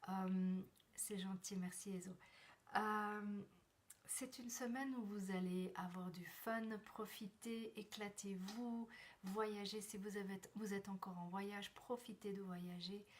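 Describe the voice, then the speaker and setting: A woman speaks at a medium pitch. Her delivery is very slow, with monotone, flat intonation. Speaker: numerologist and personal development coach. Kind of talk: live stream numerology forecast. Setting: live video stream from a temporary place. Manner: soft-spoken; halting.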